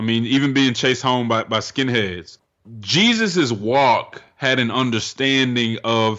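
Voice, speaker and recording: A medium-pitched man with an American accent, fairly even intonation, and a very slow pace. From Denver, Colorado. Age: 30s. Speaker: racial reconciliation advocate. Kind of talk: interview.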